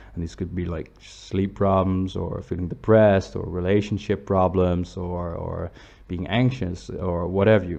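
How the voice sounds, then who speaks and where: A man talks at a moderate pace in a very deep, low pitch, with a dark, mellow tone and fairly even intonation. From Netherlands. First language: Dutch. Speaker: psychology student giving online advice. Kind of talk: channel introduction read from notes. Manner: casual with fillers and hesitations.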